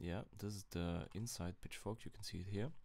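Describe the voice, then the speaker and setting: The speaker is a man with a German accent. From Germany. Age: 20s. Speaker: crypto trader. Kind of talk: casual chart analysis talk to camera. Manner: slow, hesitant.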